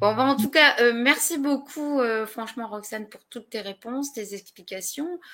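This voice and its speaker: Here a woman speaks at a fairly slow pace. Her fairly high pitch shows ordinary variation. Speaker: web show host. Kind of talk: live interview closing. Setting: live online broadcast. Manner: halting, stumbling over words.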